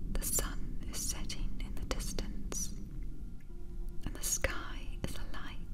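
Music sits in the background. A woman whispers very slowly. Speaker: hypnotherapist. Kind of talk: sleep hypnosis. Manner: whispered; soft-spoken, slow.

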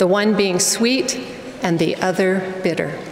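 A woman talks with fairly even intonation. Light background noise and audible room echo are present. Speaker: speaker. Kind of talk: sermon. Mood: earnest, reverent. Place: hall. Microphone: podium.

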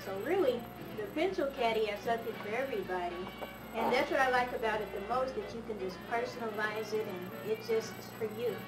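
A woman talks at a moderate pace with clear music in the background. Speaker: student promoting a product. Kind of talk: product promotion read. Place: home room. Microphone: old recording.

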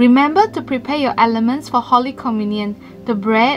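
A woman's moderately paced speech comes through with clear music in the background. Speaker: church announcer. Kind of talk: announcements to online congregation. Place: studio.

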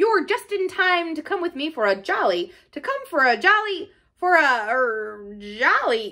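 A woman's put-on character voice, high in pitch, with very wide pitch swings at a fairly slow pace. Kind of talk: jolly, upper-class. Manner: hearty, cheerful, then faltering.

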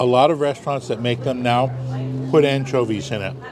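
A man keeps a fairly quick pace despite noticeable background noise. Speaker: food vlogger. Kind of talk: casual explanation at a meal. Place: cafe. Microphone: lapel.

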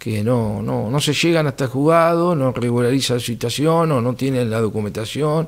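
At a moderate pace and with ordinary pitch variation, a man speaks with hardly any pauses over a quiet background. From Argentina, Buenos Aires province. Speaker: municipal security director. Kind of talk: interview. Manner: formal; halting. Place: studio. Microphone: studio mic.

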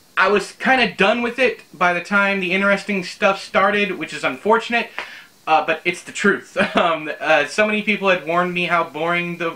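A man speaks in a raised, projected voice with ordinary pitch variation. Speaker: book reviewer. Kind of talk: casual vlog chat. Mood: amused, mildly exasperated. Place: home room.

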